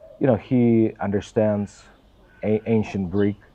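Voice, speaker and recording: At a fairly slow pace, a man with a Russian accent talks in a fairly low pitch over noticeable background noise. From Russia, Volgograd. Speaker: pastor's assistant. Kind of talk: interview. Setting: in Israel.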